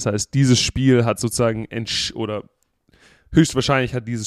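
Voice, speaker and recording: The man's voice sits at a medium pitch with monotone, flat intonation. The sound is dry and close, with no echo. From Germany. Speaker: American football player. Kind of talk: casual chat. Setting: video call. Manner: halting, many repeated words.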